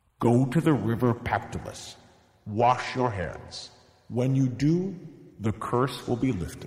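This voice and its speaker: Speaking fairly slowly, the voice is a put-on character voice. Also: man, medium pitch for a man. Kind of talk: comic kids' storytelling. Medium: read story. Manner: grand, measured.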